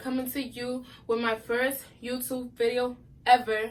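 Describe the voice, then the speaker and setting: The woman speaking has a high-pitched voice. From New York, Brooklyn. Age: 20s. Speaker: YouTuber. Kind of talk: casual vlog storytelling.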